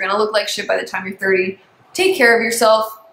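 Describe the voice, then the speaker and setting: A woman's fairly high voice at a very fast pace, with ordinary pitch variation and noticeable background noise. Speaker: astrology youtuber. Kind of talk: casual vlog tutorial. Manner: animated.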